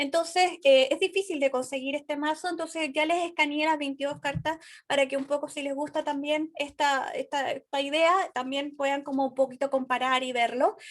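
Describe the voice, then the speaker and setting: This woman's voice sits high in pitch. Her intonation stays fairly even. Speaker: tarot teacher. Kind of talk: online class lecture. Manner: fast; hesitant with fillers.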